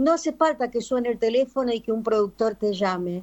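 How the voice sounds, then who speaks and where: With a Rioplatense accent, a woman speaks with ordinary pitch variation. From Argentina (Buenos Aires), born in Paraguay. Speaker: singer. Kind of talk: interview. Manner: halting, many fillers.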